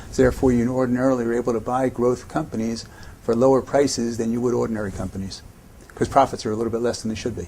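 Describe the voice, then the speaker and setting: Noticeable background noise sits behind this man's voice. He talks at a very fast pace and medium pitch with an American accent. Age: 60s. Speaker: investor. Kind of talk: interview answers.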